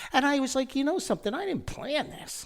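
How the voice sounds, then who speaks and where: Speaking at a fairly quick pace, a man talks in a New Jersey accent. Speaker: podcast host and author. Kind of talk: humorous personal storytelling.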